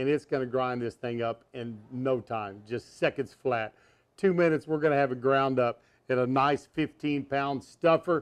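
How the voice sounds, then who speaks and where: This man talks at a moderate pace, with ordinary pitch variation. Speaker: cooking show host. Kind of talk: tutorial. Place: kitchen.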